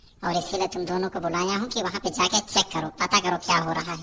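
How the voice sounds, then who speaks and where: At a very fast pace, a woman performs a cartoonish character voice at medium pitch with fairly even intonation. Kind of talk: comic cartoon acting. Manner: scolding, sarcastic.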